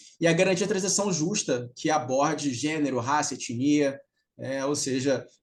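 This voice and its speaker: Here a man speaks with a fairly high pitch and fairly even intonation. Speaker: CEO and author giving a talk on circular economy. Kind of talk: remote lecture. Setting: video call. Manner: fast; nonstop talking.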